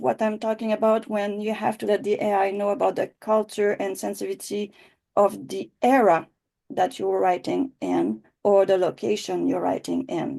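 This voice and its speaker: A woman speaks in a Quebec accent at a moderate pace. The background is quiet. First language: French. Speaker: writing teacher. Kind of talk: online class. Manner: halting.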